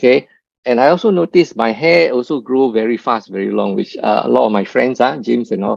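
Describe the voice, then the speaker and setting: Lively intonation at a fairly quick pace. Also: man. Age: 60s. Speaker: customer sharing testimony. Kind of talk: testimony. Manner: halting, many fillers and repetitions.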